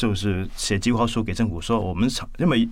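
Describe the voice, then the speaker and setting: Audible room echo surrounds a man with a Cantonese accent, who speaks at a fairly quick pace and a fairly low pitch. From Hong Kong. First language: Cantonese (speaking Chinese). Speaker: architect and university lecturer. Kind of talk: interview conversation. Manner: hesitant, many fillers.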